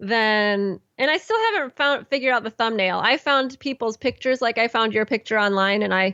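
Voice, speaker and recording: With an American accent and a normal speaking voice, a woman talks at a fairly quick pace and a fairly high pitch with hardly any pauses. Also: ordinary pitch variation. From Illinois, Chicago area. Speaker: horn player, podcast host. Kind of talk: casual interview chat.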